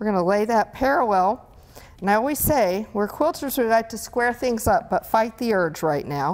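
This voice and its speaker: A woman at a moderate pace with lively intonation, light background noise behind her. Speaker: product demonstrator. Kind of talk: tutorial. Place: studio. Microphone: lapel.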